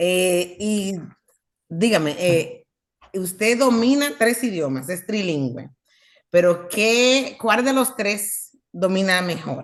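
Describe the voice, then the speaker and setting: A woman with a medium-pitched voice speaks very slowly, her intonation lively. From United States, Dominican heritage. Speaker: interviewer. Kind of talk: interview. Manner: halting.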